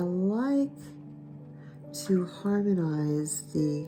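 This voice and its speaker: A woman speaks with music in the background. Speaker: watercolor art teacher. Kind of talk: painting tutorial talk to camera.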